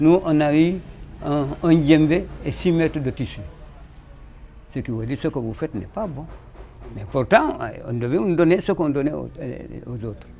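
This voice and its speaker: A man speaks at a moderate pace in a fairly high pitch, his loudness swinging widely. Long pauses come often, and music plays in the background. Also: lively intonation. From Senegal, Casamance (Kassa region). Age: 70s. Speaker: traditional musician. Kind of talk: interview testimony. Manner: halting, with repetitions.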